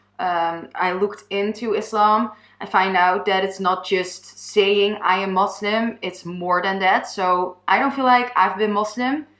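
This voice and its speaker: Speaking with a Dutch accent, a woman at medium pitch keeps her intonation fairly even and hardly pauses. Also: fairly slow pace. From Netherlands. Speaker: vlogger. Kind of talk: personal testimony. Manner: halting.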